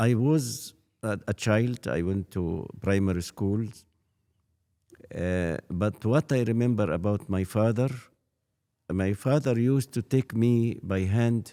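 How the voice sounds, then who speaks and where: A man with an Arabic accent speaks very slowly with long, frequent pauses, his fairly low voice dark and mellow in a dry, close sound with no echo. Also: ordinary pitch variation, very clean recording, silent background. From Egypt, Fayum. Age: 80s+. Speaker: priest. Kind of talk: interview. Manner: halting.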